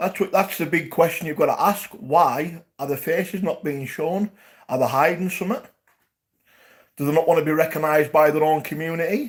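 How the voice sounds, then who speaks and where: A man with a Geordie accent speaks at a moderate pace in a high voice, his pitch varying in an ordinary way. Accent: Geordie (Newcastle). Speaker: YouTube live streamer. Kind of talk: livestream chat to viewers. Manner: animated.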